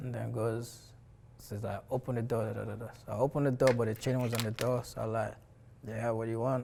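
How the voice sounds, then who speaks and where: Speaking very fast, a man with a medium-pitched, somewhat breathy, dark, mellow voice keeps a monotone, flat intonation. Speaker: documentary subject. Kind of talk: personal testimony.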